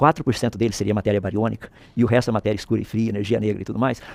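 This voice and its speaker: The man talks at a very fast pace, in a dry, close sound with no echo. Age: 60s. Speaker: physicist and creationist author. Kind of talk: interview. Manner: explanatory, uses analogies.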